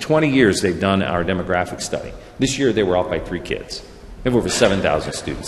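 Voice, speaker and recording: Someone with an American accent speaks at a fairly quick pace over noticeable background noise. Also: man. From US Midwest. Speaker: school superintendent. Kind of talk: presentation. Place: hall. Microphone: podium.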